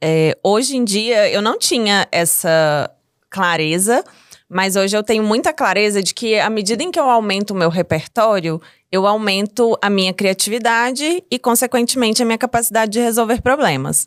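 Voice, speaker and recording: In a slight mineiro accent, a woman speaks at a moderate pace with lively intonation and very even loudness, the sound dry and close with no echo. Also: fairly high pitch for a woman. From Minas Gerais, Brazil. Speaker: entrepreneur. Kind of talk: interview podcast.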